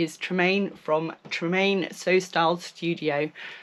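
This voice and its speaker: A woman with a British accent speaks at a fairly low pitch, her intonation fairly even. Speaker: sewing vlogger. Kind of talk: casual vlog chat.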